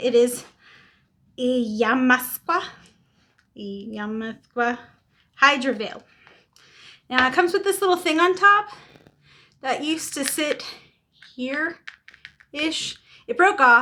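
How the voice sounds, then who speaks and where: A woman speaks in a raised, projected voice with a bright, sharp tone and a high pitch. Her lively delivery moves at a very slow pace with long, frequent pauses. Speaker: beauty vlogger. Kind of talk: makeup tutorial. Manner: casual.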